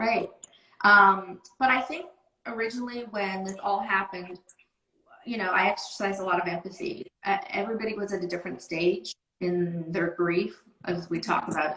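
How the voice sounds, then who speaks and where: At a moderate pace, a woman talks in a normal speaking voice. She keeps a medium pitch with ordinary pitch variation. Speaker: sales team manager. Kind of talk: casual interview. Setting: video call.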